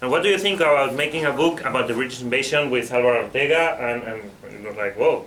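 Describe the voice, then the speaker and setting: Amid noticeable background noise and audible room echo, a man with a Spanish accent speaks at a very fast pace with ordinary pitch variation. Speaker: book author. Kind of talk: book presentation talk; interpreting for a co-panelist. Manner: halting, with fillers and repetitions.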